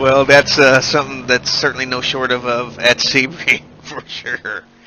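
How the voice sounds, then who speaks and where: Noticeable background noise sits under a voice moving at a moderate pace in a monotone, flat delivery. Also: man, medium pitch for a man. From United States. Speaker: sim racing commentator. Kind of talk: live commentary. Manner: hesitant, many uh fillers.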